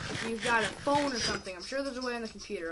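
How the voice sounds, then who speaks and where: Backed by music, a woman speaks in a fairly high pitch with lively intonation. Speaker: gaming youtuber. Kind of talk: gameplay commentary. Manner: animated.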